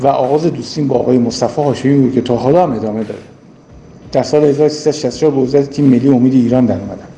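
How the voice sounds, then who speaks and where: A man at a very fast pace and medium pitch, with noticeable background noise. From Iran, Mashhad (Khorasan). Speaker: former basketball player. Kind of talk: recorded personal testimony.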